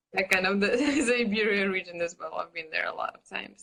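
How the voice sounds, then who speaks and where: A woman with a Russian accent speaks at medium pitch in a bright, sharp tone with ordinary pitch variation. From Russia (Kurgan). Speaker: podcast host. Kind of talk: interview conversation. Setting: Instagram live. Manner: hesitant, many fillers.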